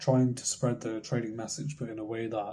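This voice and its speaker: A quiet, somewhat breathy male voice at a medium pitch, dark and mellow in tone, at a fairly quick pace with fairly even intonation. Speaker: trading content creator. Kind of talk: motivational monologue.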